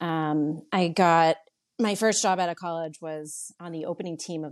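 With an American accent, a woman uses a plain, everyday voice, fairly low in pitch and fairly even in intonation, over a quiet background. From Connecticut (New Canaan). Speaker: non-profit board chair. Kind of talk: interview.

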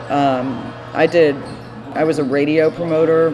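A woman speaks with monotone, flat intonation. Noticeable background noise can be heard. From Texas, Austin. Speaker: music publicist. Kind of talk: casual chat.

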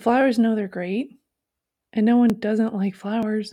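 This woman's fairly high voice has a dark, mellow, somewhat breathy tone and fairly even intonation. She keeps a moderate pace in a very clean recording with a silent background. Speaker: poet and bookstore owner reading own poems. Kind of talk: poetry reading of own short poems, dated entries.

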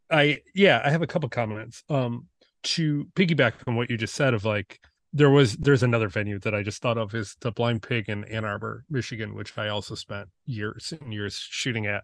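A man with an American accent speaks at a moderate pace and a medium pitch, with ordinary pitch variation, an ordinary speaking voice, and a quiet background. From US Midwest, Detroit suburbs. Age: 40s. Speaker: photographer. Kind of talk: casual chat.

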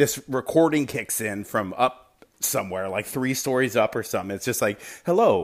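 Here a man speaks at a medium pitch and a moderate pace. His tone is animated, with lively intonation. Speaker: listener sending a message. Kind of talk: casual recorded message. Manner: casual, jokey, animated.

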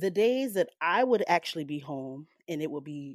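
With a Southern US accent, a woman speaks at a moderate pace in an animated tone and lively intonation, her pitch fairly low, the sound dry and close with no echo against a quiet background. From US South, rural. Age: 30s. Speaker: storyteller. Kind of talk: reading aloud.

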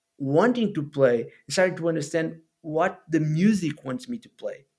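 A man speaks in a Portuguese accent with lively intonation. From Portugal (Alcobaça). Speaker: musician and podcaster. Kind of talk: casual interview conversation.

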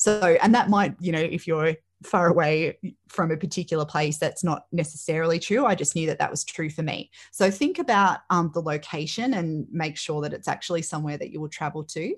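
A woman with an Australian accent speaks at a fairly quick pace and fairly low pitch with ordinary pitch variation, recorded very cleanly against a silent background. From Australia, Melbourne northwest. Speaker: teacher and careers practitioner. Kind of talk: interview.

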